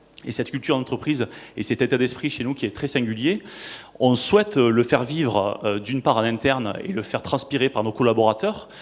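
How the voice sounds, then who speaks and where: A man speaks with a Toulouse accent at a medium pitch. His intonation is lively and his pace fairly quick. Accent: southern French (Toulouse). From southwest France, Toulouse. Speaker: marketing director, conference speaker. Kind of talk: conference panel talk. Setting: stage with audience. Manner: hesitant, many fillers and repetitions.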